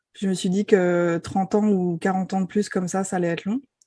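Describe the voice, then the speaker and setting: A woman's dark, mellow tone at medium pitch and a moderate pace, fairly even intonation, quiet background. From France, Paris. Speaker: enneagram expert and coach. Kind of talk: podcast interview. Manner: hesitant, many filler sounds.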